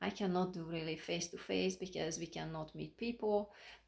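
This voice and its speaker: A woman speaks at a fairly low pitch with a non-native accent. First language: not English. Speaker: life coach and motivational speaker. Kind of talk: motivational talk to camera. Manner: halting, self-correcting.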